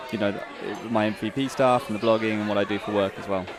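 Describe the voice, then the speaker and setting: A man with a British accent at a very fast pace, medium in pitch, over noticeable background noise. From UK. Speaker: tech blogger and community reporter. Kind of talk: casual interview. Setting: conference event.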